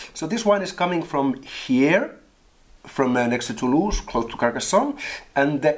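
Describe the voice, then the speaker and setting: Moving through very wide pitch swings, a man speaks at a moderate pace. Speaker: wine show host. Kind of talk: casual wine tasting chat. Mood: jokey, laughing. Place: home room.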